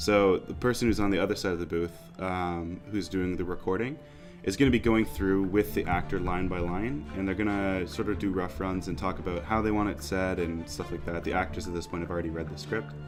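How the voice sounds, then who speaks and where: Music plays in the background as a man talks at a fairly quick pace. His voice is very deep and low, with ordinary pitch variation. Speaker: sound designer and voice director. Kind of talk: interview answer.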